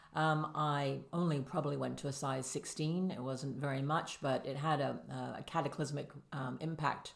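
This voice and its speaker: A woman with a North American accent speaks at a moderate pace in a very deep, low pitch with monotone, flat intonation. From Canada. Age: 60s. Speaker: podcast guest sharing weight loss story. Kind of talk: casual interview.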